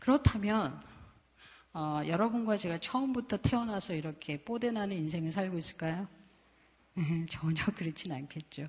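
At a moderate pace, a woman speaks with lively intonation, a medium pitch, and a somewhat breathy quality. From South Korea. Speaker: missionary. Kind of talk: sermon. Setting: church.

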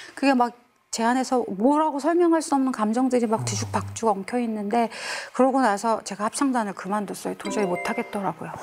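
Over background music, a woman talks at a fairly quick pace in a fairly high voice with ordinary pitch variation. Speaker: gospel singer. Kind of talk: interview.

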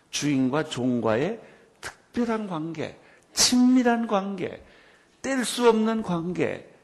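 A man's high voice with very wide pitch swings, at a very slow pace with long, frequent pauses, and audible room echo. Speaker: pastor. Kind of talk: sermon.

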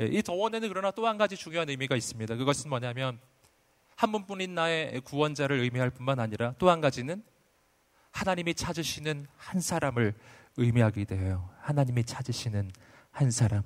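Delivered at a fairly quick pace with an animated tone, the voice swings very widely in pitch over a very clean recording with a silent background. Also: man, fairly high pitch for a man. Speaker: pastor. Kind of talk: sermon. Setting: stage with audience.

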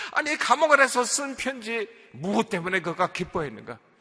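A man's raised, projected voice, fairly slow, with very wide pitch swings. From South Korea, Seoul. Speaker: pastor. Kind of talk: sermon.

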